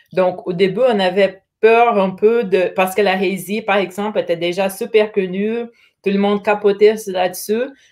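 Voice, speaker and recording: A woman talks at a moderate pace with a medium pitch and a flat, monotone delivery. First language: Portuguese (speaking French). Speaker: brewery representative. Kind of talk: casual interview chat. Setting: live stream.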